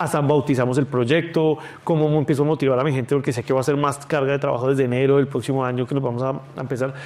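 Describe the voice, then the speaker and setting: Talking very fast, a man uses a fairly high pitch. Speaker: food company founder. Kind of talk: interview.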